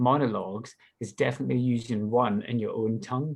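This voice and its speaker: A man with a Scottish accent speaks at a medium pitch. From Scotland. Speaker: actor. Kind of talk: panel discussion.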